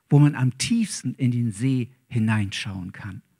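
In a quiet background, a man with a somewhat breathy voice speaks at a fairly slow pace. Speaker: preacher. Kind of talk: sermon. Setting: church. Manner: warm, earnest, preaching. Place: church. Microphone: handheld.

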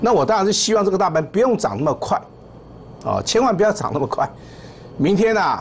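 Light background noise runs under the audio. A man is the one talking. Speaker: stock market analyst host. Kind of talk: market commentary. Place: studio.

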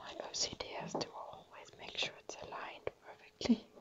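At a fairly slow pace, someone whispers. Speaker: ASMR creator. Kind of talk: ASMR whispering. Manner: whispering. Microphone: phone near.

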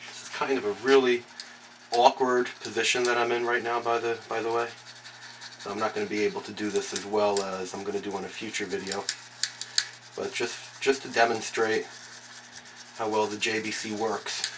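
Moderate pace with long, frequent pauses over noticeable background noise. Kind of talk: tutorial. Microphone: camera far.

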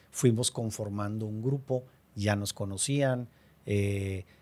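A man with a fairly low pitch speaks at a very slow pace, his pitch varying in an ordinary way. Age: 50s. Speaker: real estate developer; podcast guest. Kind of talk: interview. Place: studio. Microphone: studio mic.

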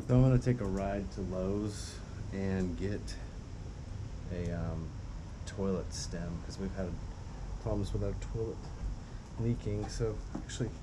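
A man speaks at a moderate pace with ordinary pitch variation. Long, frequent pauses break his speech over noticeable background noise. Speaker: vlogger. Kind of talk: casual vlog chat. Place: street. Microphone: phone near.

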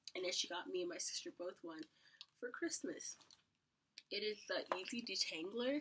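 Her pitch sits fairly high, and this woman's pitch swings are very wide. She keeps a moderate pace broken by long, frequent pauses. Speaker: YouTuber. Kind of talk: haul video. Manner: animated.

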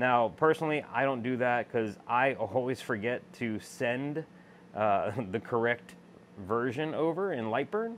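A man speaks with lively intonation over light background noise. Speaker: laser machine user demonstrating. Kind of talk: tutorial. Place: workshop. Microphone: phone near.

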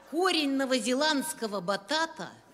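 High-pitched female speech with light background noise. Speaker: comic performer. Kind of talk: comic monologue. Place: stage. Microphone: handheld.

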